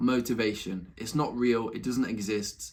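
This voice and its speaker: A man speaks with a Nottingham accent at a medium pitch. His tone is animated, with a moderate pace and ordinary pitch variation. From England, Nottingham. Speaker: YouTuber, entrepreneur. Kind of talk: casual vlog monologue. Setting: home room, recording at laptop.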